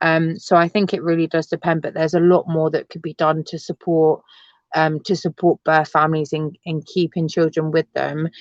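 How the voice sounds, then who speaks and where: Speaking at a moderate pace in a London accent, the voice stays monotone and flat, recorded dry and close with no echo over a quiet background. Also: woman, fairly low pitch for a woman. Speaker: adoptee and assistant ranger. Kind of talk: interview. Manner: hesitant, many fillers; loud.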